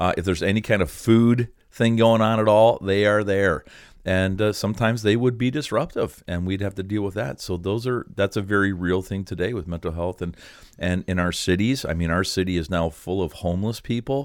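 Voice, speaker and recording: In a Canadian accent, a man talks at a fairly quick pace with an unremarkable speaking voice. His pitch is fairly low with ordinary variation, on a very clean recording with a silent background. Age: 60s. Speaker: pastor and ministry director. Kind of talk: casual chat.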